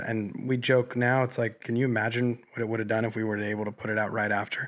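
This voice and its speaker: This man speaks with a General American accent at a medium pitch and a fairly quick pace. The recording is very clean, with a silent background. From Colorado. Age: 20s. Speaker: independent musician. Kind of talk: casual chat. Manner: animated.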